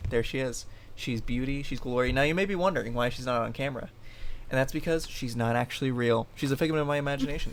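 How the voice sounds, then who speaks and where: Very fast speech from a man at a medium pitch, ordinary in pitch variation, with audible room echo. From Florida, US (born in Ohio). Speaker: fitness coach, podcast host. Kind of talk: casual chat.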